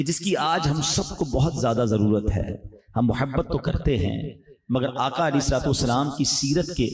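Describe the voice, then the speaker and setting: Holding his loudness very even, a man talks at a fairly high pitch with ordinary pitch variation. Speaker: Islamic preacher delivering a sermon. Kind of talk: emotional Islamic sermon (bayan). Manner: emotional, passionate, exhortative.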